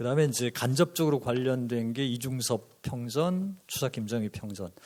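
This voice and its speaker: This man has a normal speaking voice, medium in pitch, moving at a moderate pace with ordinary pitch variation. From rural Korea. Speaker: art historian and author. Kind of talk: panel discussion remarks. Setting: conference with audience.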